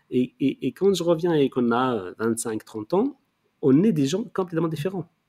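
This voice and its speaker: With a dark, mellow tone and lively intonation, the voice moves at a moderate pace in a dry, close sound with no echo. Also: man. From Morocco, Rif region. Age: 50s. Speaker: art curator and critic. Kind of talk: interview. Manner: halting, many repetitions.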